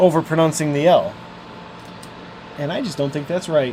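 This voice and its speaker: Over noticeable background noise, a man with a Midwestern American accent speaks at a fairly high pitch. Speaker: electronics repair youtuber. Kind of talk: live stream chat while repairing. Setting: live stream.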